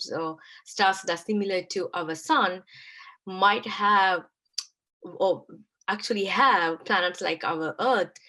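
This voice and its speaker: Speaking at a very slow pace with long, frequent pauses, a woman uses a medium pitch, ordinary pitch variation and a bright, sharp tone. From Sri Lanka. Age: young. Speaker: science outreach lecturer. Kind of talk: online lecture.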